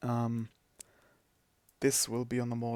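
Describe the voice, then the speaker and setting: In a very clean recording with a silent background and a dry, close sound with no echo, a man with a non-native accent speaks at a medium pitch. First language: not English. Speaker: gaming streamer. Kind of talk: podcast-style monologue. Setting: live stream.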